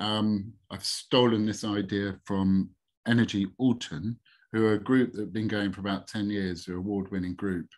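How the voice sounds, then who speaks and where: A man with a plain, everyday voice speaks at a fairly low pitch and a moderate pace. His intonation stays fairly even against a quiet background. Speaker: webinar presenter. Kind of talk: webinar presentation. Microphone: video call.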